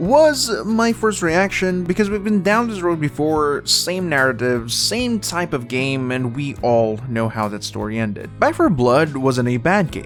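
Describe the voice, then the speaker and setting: Over music in the background, a man speaks at a fairly slow pace with hardly any pauses. His fairly high voice swings very widely in pitch. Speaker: gaming news commentator. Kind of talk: casual video commentary. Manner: casual, conversational.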